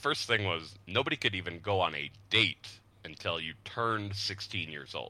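In a very clean recording with a silent background, a man with an American accent speaks at a moderate pace, his very deep, low voice bright and sharp in tone with lively intonation. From Utah (Salt Lake City, Lehi). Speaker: podcast guest. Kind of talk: casual chat.

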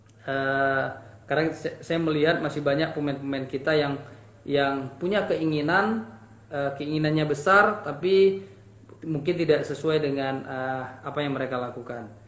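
With audible room echo, a man of fairly high pitch talks at a fairly slow pace, his pitch varying an ordinary amount. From Indonesia, Aceh. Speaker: football coach. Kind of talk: interview.

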